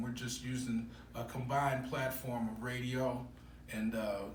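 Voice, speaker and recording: A man with an American accent speaks at medium pitch in a monotone, flat intonation. The room echoes audibly, and background noise is noticeable. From Chicago, US Midwest. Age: 60s. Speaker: sports radio host. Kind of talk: interview. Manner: halting, many fillers.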